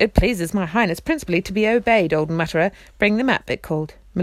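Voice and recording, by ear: The clip features someone reading aloud in a natural voice.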